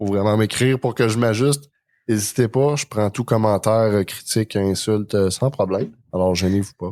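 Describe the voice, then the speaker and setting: A man with a Quebec accent speaks in a fairly low pitch. His tone is dark and mellow, and his intonation stays fairly even. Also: moderate pace. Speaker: podcast host. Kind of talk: casual chat.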